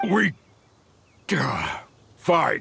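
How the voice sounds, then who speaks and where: A raspy put-on character voice from a man. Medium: video game. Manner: stammering when cornered.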